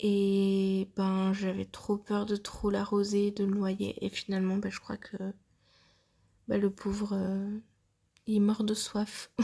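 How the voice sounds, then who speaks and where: A woman's medium-pitched, somewhat breathy voice with a dark, mellow tone, monotone and flat, at a very slow pace with long, frequent pauses. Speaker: plant hobbyist. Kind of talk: voice-over plant tour. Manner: hesitant, casual.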